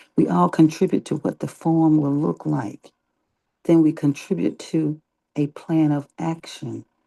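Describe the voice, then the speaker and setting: A quiet voice at a fairly slow pace. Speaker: online meeting organizer. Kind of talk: casual group discussion.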